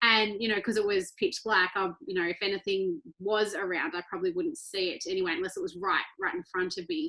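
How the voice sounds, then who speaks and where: A woman with an Australian accent speaks at a medium pitch in a bright, sharp tone. Her pace is fairly quick with hardly any pauses and ordinary pitch variation. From rural Australia (Victoria). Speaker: ultra-endurance athlete. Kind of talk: interview conversation.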